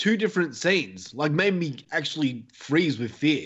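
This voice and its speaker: The voice carries lively intonation in an Australian accent. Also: man. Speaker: horror podcaster. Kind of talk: casual chat. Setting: remote call.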